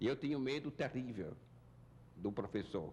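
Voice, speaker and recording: A man's medium-pitched voice with vocal fry, lively intonation, and a fairly slow pace. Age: 70s. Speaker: university founder and former rector. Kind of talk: interview, life story.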